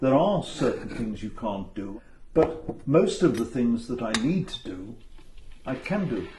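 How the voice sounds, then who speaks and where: Noticeable background noise surrounds a man speaking at a fairly slow pace. His medium-pitched voice makes very wide pitch swings. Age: 70s. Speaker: retired professional with sight loss. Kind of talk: documentary interview answer.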